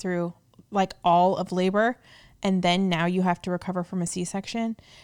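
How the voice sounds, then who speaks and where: A woman speaks at a fairly quick pace and medium pitch. The recording is very clean, with a silent background. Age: 30s. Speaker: podcast co-host, wife and mother. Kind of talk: casual chat. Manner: animated, laughing often.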